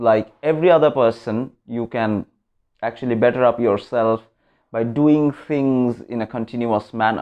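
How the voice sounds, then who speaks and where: A man with a Bengali accent at a moderate pace, with ordinary pitch variation. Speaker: vlogger. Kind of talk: motivational vlog talk.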